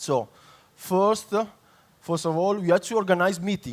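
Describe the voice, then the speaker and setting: A man is speaking. He has an Italian accent. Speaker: public consultant. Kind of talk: conference talk. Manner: halting, many fillers.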